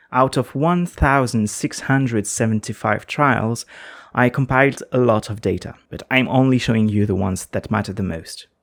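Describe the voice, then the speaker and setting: The recording is very clean, with a silent background. A man with a non-native accent speaks at a moderate pace. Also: medium pitch for a man, ordinary pitch variation. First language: not English. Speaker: gaming video essayist. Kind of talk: scripted narration.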